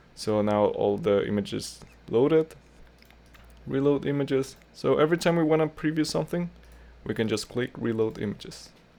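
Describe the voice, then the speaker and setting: A man of medium pitch with lively intonation. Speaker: tutorial creator. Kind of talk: tutorial. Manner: slow; casual, with fillers.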